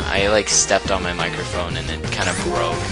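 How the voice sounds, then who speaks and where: Loud music plays in the background as a man speaks at a moderate pace. The sound is dry, with no echo. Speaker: gaming commentator. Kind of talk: let's play commentary.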